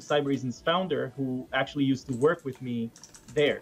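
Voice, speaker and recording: A fairly quick man's voice in an Israeli accent, fairly high in pitch with ordinary pitch variation. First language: Hebrew. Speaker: security researcher; guest. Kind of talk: casual chat. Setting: video call. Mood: relaxed storytelling. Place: home room. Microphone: webcam.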